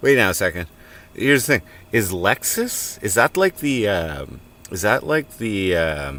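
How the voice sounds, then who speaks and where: A man with a Canadian accent, fairly low in pitch, with very wide pitch swings, vocal fry and a fairly slow pace. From Canada, Cornwall, Ontario. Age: 40s. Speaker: live streamer. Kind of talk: casual chat. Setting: in a tent at a farm work site.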